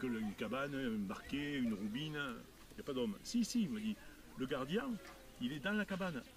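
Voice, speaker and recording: A man talks at a fairly quick pace with very wide pitch swings. Long pauses come often. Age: 60s. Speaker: heritage campaigner. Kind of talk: casual chat.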